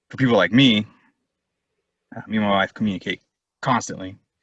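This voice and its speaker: Dry and close with no echo, a man's bright, sharp tone carries an American accent. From California. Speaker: war veteran. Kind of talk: interview testimony. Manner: fast; mumbling.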